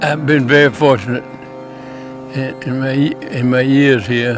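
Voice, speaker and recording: Speech comes at a very slow pace with long, frequent pauses, in an American accent and with ordinary pitch variation. Music plays in the background. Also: man. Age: 80s+. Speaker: hunter. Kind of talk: interview answer.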